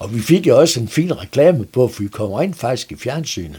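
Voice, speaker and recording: Somewhat breathy and dark, mellow in tone, a man's voice swings very widely in pitch. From Denmark, North Jutland (Strandby, Vendsyssel). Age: 70s. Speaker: retired net maker. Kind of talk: interview. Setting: studio.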